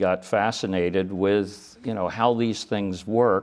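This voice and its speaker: Fairly low male voice with an American accent, monotone and flat, at a moderate pace. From US Northeast, Philadelphia area. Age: 70s. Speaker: lawyer and former judge and congressman. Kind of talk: interview.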